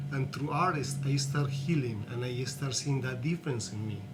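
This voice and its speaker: Speaking with a Colombian accent and fairly even intonation, a man is heard amid noticeable background noise and audible room echo. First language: Spanish. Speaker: artist and activist. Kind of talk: interview.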